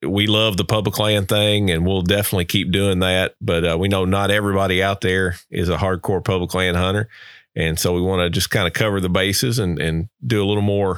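A man with a Southern US accent and a very deep, low pitch at a fairly quick pace, with very even loudness and fairly even intonation, on a very clean recording with a silent background. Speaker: podcast host. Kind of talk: casual interview chat.

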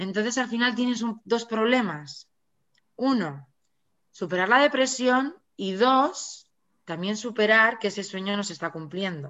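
In an ordinary speaking voice, a woman speaks at a fairly slow pace with a fairly high pitch and lively intonation. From Navarra, Spain. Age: 40s. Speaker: author. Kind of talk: interview.

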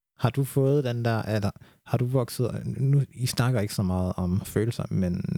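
Over a very clean recording with a silent background, a man speaks at a fairly slow pace in a dark, mellow tone. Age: 20s. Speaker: podcast host. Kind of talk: casual chat. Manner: calm.

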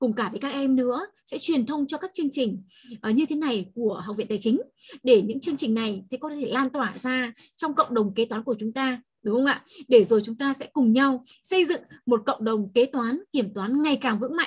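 At a fairly quick pace, a woman speaks in a high voice. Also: ordinary pitch variation. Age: 40s. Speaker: accounting lecturer and trainer. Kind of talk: online talk to students. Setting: video call.

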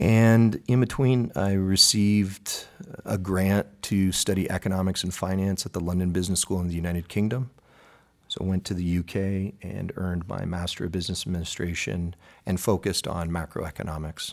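Delivered at a moderate pace with an American accent, the intonation stays fairly even. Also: man, very deep, low pitch for a man. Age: 40s. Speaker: political candidate. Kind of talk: interview.

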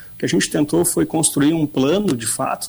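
Speaking in a Rio Grande do Sul accent, a man uses a fairly high pitch with ordinary pitch variation at a moderate pace. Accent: Rio Grande accent more than Bagé. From Bagé, Rio Grande do Sul, Brazil. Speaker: gym owner and former sports club president. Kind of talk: radio interview.

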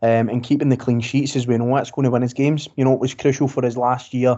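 This man speaks very fast at a medium pitch. His intonation stays monotone and flat. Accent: west of Scotland. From Scotland, Greenock, Inverclyde. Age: 30s. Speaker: football fan podcaster. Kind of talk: casual chat.

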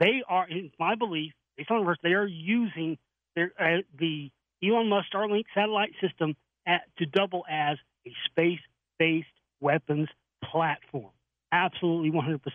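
A man talks in a high voice. Long, frequent pauses break up his speech. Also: ordinary pitch variation, moderate pace. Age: 40s. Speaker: documentary filmmaker. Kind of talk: radio interview.

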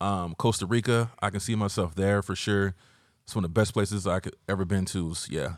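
A man with an American accent and an unremarkable speaking voice talks at a moderate pace, fairly low in pitch with fairly even intonation. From US South, Georgia. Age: 40s. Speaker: former photographer and studio owner. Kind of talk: casual chat. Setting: studio.

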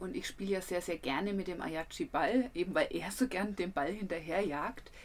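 With a Franconian accent, a woman talks at a medium pitch and ordinary pitch variation. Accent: Franconian dialect, rolled R and soft D. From Franconia, Germany. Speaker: travel podcaster and photographer. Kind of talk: casual travel storytelling.

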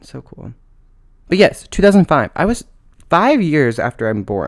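Vocal fry, very wide swings in pitch and a moderate pace. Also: man. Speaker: podcast host. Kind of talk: casual chat. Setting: at home.

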